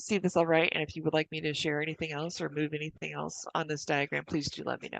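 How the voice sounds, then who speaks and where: Very fast with hardly any pauses, a woman talks at a very deep, low pitch in a monotone, flat intonation with vocal fry, the sound dry and close with no echo. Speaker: city planning staff presenter. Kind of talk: staff presentation at public meeting. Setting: public commission meeting.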